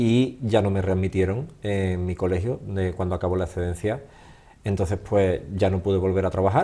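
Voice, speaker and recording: Speaking in an Andalusian accent, a man with a very deep, low pitch and a dark, mellow tone moves at a moderate pace with ordinary pitch variation. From Andalusia, Seville. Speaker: holistic therapist, former teacher. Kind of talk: interview. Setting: studio. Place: studio. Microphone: studio mic.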